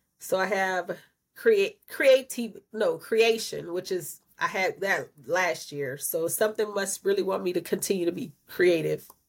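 A woman with an unremarkable speaking voice talks at medium pitch and a fairly slow pace on a very clean recording with a silent background. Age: 40s. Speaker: podcast co-host. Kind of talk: casual chat.

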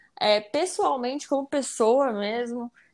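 This woman has a plain, everyday voice with a fairly high pitch and ordinary pitch variation. She speaks at a moderate pace on a very clean recording with a silent background. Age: 20s. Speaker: engineering student. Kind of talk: casual chat.

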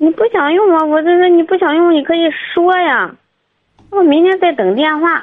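Her pitch sits extremely high for a woman, and her loudness stays very even throughout. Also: ordinary pitch variation, moderate pace. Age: 20s. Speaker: caller. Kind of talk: phone-in advice call. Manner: low-energy, listless.

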